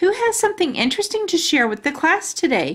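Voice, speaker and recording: A squeaky, put-on character voice at a fairly quick pace, with very wide pitch swings. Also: woman. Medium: read story. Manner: polite, measured.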